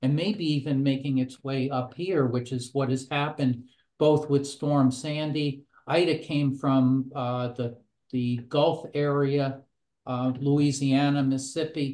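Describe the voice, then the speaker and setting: Slow and fairly unhurried, a man speaks with a dark, mellow tone. His intonation stays monotone and flat. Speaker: presenter. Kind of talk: webinar presentation. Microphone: webcam.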